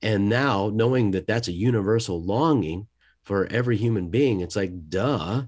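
In a very clean recording with a silent background, a man with an ordinary speaking voice talks at a moderate pace, fairly low in pitch, with ordinary pitch variation and very even loudness. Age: 50s. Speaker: disciple-making consultant and podcast host. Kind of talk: interview conversation.

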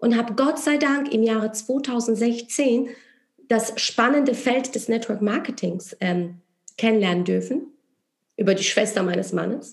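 A woman with a Polish accent speaks at a fairly high pitch. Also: ordinary pitch variation, fairly slow pace. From Poland. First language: Polish (speaking German). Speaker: entrepreneur and network marketer. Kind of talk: interview.

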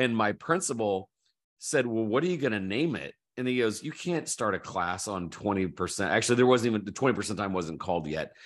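A man with a normal speaking voice talks at a fairly quick pace, fairly low in pitch, with lively intonation. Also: quiet background. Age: 50s. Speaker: author and education entrepreneur. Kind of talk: casual interview conversation.

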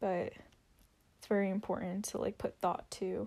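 A woman speaks at a very slow pace. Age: 20s. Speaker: solo podcaster. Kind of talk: casual monologue. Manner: hesitant with many fillers.

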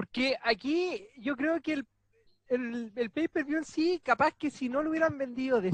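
An extremely high-pitched man's voice with a Chilean accent, bright and sharp in tone, in a dry, close sound with no echo. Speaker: podcast host. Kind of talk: casual chat.

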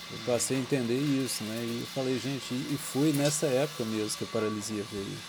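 A man with a medium pitch speaks with fairly even intonation. Audible room echo and noticeable background noise surround his voice. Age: 30s. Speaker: church member giving testimony. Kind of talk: personal reflection monologue. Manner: slow; halting.

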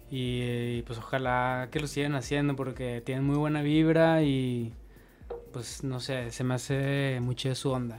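A man talks at a fairly slow pace in a monotone, flat intonation, his pitch medium. There is noticeable background noise and audible room echo. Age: 30s. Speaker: photographer and DJ. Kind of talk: casual chat.

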